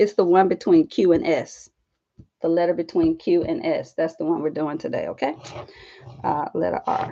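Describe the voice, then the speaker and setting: With an unhurried moderate pace broken by long, frequent pauses, a woman talks in a Southern US accent. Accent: Southern twang. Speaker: art journaling YouTuber and teacher. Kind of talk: casual live stream vlog. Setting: live stream at home desk. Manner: chatty.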